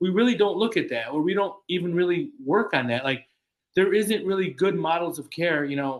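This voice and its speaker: A man talks at a fairly quick pace. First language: Spanish. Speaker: clinician on book-club podcast panel. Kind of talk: casual panel discussion. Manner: halting, with frequent word repetitions.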